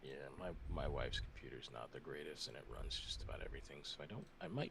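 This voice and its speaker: A quiet man speaks with audible room echo around him. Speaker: caller. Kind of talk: casual chat. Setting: voice call. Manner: quiet, kept down.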